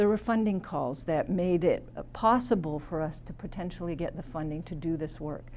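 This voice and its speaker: A woman speaks in a fairly low pitch with ordinary pitch variation. Audible room echo surrounds her voice. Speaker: academic researcher. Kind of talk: conference talk. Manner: fast.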